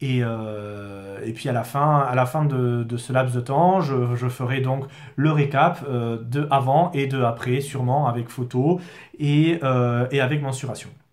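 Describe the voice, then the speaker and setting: A man speaks at a very slow pace in a medium pitch. His intonation is fairly even. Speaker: product distributor. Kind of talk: product explainer video. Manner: halting, many fillers.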